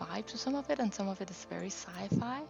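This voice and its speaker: A soft-spoken voice over background music. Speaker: ASMR creator. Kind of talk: soft-spoken ASMR let's play.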